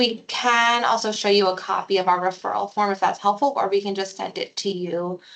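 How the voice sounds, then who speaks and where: Speech runs at a fairly quick pace with hardly any pauses. It is a normal speaking voice with fairly even intonation. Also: woman, medium pitch for a woman. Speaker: psychiatric consultation program staff. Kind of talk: informational presentation.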